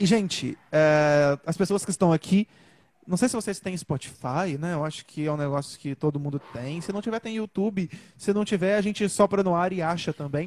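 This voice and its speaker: High pitch from a man, ordinary pitch variation, moderate pace, and a dry, close sound with no echo. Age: 20s. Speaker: singer. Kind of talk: casual chat.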